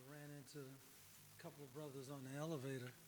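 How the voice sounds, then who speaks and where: This man's voice is fairly high, with monotone, flat intonation. He speaks at a moderate pace, and there is audible room echo. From Harlem, New York. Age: 60s. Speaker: poet. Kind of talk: spoken word poetry. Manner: hesitant.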